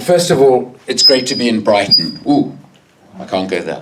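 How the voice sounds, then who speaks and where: At medium pitch, a man's voice swings very widely. Noticeable background noise and audible room echo surround him. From South Africa. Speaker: campaigner, public speaker. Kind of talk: public talk. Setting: public meeting hall with audience.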